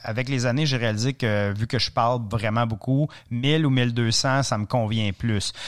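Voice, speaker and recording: A man with an Ontario French accent, medium pitch and a fairly slow pace, in a very clean recording with a silent background. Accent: Franco-Ontarian French. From Ontario, francophone community. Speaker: cycling adventurer and author. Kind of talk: interview, storytelling. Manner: hesitant, repeats words.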